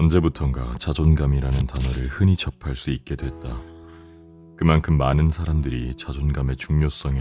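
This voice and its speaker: Over background music, a soft-spoken man talks at a moderate pace in a calm tone. His very deep, low voice keeps fairly even intonation. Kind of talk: audiobook reading for sleep. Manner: soft, calm.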